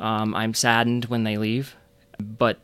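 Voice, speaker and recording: On a very clean recording with a silent background, a man of medium pitch speaks in an American accent with monotone, flat intonation. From Michigan, Flint. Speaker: emergency and sports medicine physician. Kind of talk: casual interview.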